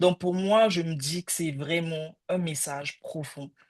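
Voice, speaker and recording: A woman talks at a very slow pace with ordinary pitch variation. The sound is dry and close with no echo, and the background is quiet. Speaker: career counselor. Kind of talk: casual chat. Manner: halting.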